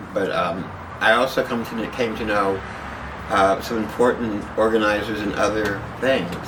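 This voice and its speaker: A man with an American accent speaks at a fairly low pitch and a moderate pace. His intonation is fairly even, with noticeable background noise behind him. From San Antonio, Texas. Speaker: AIDS activist and organizer. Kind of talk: oral history interview answer.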